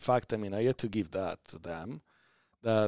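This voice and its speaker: Speaking at a moderate pace with an Italian accent, a man has a fairly low pitch and a dark, mellow tone, captured in a very clean recording with a silent background and a dry, close sound with no echo. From southern Italy. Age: 30s. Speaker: community organization leader. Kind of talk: podcast interview. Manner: energetic.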